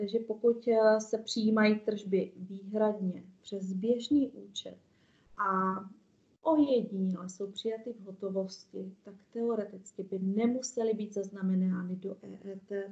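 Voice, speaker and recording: Very slow and somewhat breathy, a woman speaks at a medium pitch with fairly even intonation and big swings in loudness. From Czech Republic. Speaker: tax accountant presenter; presenter. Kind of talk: webinar presentation. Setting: online video call. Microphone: video call.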